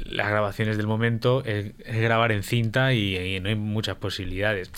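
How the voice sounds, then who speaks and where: It's an ordinary speaking voice, a man's, delivered at a moderate pace. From Spain, Valencia. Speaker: guitarist. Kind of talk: radio interview.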